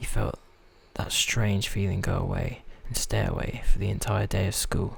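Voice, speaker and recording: Noticeable background noise fills the clip. Through it, a man whispers. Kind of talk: story reading, a bit halting. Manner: soft-spoken.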